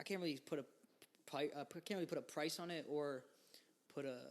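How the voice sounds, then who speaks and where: A fairly high-pitched man with an American accent and vocal fry, talking at a fairly quick pace with ordinary pitch variation and long, frequent pauses. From New York. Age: 20s. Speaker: musician. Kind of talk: interview.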